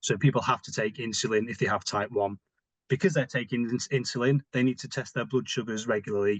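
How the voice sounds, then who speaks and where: Speech comes at a very fast pace with a British accent and ordinary pitch variation. The sound is dry and close, with no echo. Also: man, medium pitch for a man. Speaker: diabetes physical activity advisor. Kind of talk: webinar presentation.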